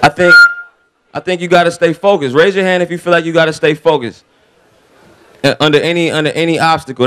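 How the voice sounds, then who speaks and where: Talking at a very fast pace, a man uses an American accent. His pitch is fairly high, with ordinary variation. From Raleigh, North Carolina. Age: 20s. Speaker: rapper. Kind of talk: motivational speech. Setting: stage with audience.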